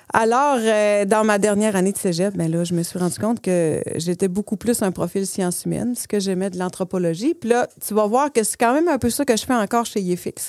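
This woman has an ordinary speaking voice, medium in pitch with ordinary pitch variation, talking at a fairly quick pace with hardly any pauses. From Saguenay-Lac-Saint-Jean, Quebec. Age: 40s. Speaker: entrepreneur. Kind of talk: casual interview.

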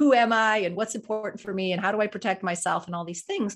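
A woman with an American accent talks at a very fast pace with ordinary pitch variation over a quiet background. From Colorado. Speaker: executive leadership coach and author. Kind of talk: interview conversation.

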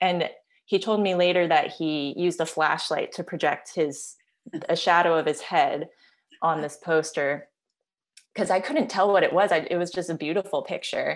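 A woman with a normal speaking voice at a moderate pace, in a very clean recording with a silent background. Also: fairly low pitch for a woman, ordinary pitch variation. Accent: American. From US, Maryland (Silver Spring). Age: 30s. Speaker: photographer and author. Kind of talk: casual interview.

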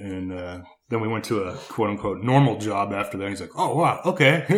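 Fairly low-pitched male voice at a moderate pace, with ordinary pitch variation and audible room echo. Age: 30s. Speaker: landscape contractor. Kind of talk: casual interview chat.

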